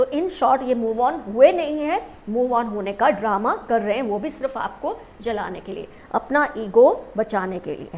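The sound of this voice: Her voice fairly high and slightly mellow, a woman speaks at a fairly slow pace with lively intonation and few pauses.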